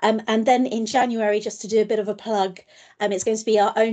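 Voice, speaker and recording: A woman's dark, mellow tone at a moderate pace against a quiet background. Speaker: session host. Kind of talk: meeting introduction. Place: home room. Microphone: video call.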